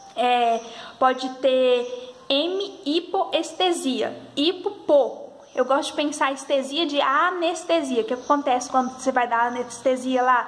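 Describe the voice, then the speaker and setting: The speaker goes at a fairly slow pace with very even loudness and ordinary pitch variation, over noticeable background noise. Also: woman, high pitch for a woman. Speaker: health sciences student or educator. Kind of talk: tutorial.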